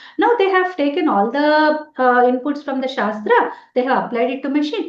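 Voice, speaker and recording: Very fast and with very wide pitch swings, a woman talks in a Telugu accent amid audible room echo. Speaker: Sanskrit professor. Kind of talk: lecture. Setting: webinar.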